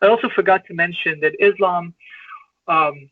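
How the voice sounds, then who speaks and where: This man speaks with an Iranian accent and a high pitch. His pitch varies in an ordinary way, and his pace is moderate. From Iran (Tehran). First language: Farsi. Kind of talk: interview, personal life story. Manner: halting, many repetitions and fillers.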